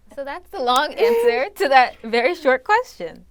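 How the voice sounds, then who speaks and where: Speaking in an unremarkable speaking voice, a woman with an American accent and a fairly high pitch keeps a moderate pace and lively intonation. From US, Nigerian-born. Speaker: student journalist. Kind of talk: casual chat.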